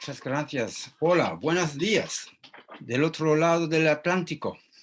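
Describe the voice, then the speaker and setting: This man's fairly high voice keeps a fairly even intonation while he talks at a very slow pace. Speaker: philosopher and lecturer. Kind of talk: conference talk answering questions. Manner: halting.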